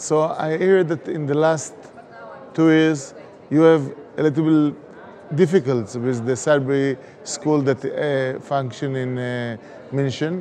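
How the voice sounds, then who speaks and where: Amid audible room echo and noticeable background noise, a man with an Israeli accent speaks at a fairly slow pace in a fairly high pitch, with ordinary pitch variation and long, frequent pauses. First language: Hebrew. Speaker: education pioneer. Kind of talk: conference speech; video appeal. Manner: halting.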